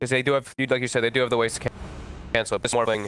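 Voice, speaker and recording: A man speaks at a medium pitch in a bright, sharp tone. His intonation stays monotone and flat. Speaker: esports caster. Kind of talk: live commentary. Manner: loud.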